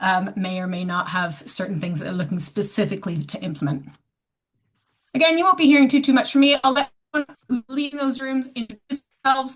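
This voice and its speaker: Over a quiet background, a somewhat breathy voice with a Canadian accent moves at a fairly quick pace through very wide pitch swings. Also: woman. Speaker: sports organisation staff member. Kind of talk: online meeting facilitation.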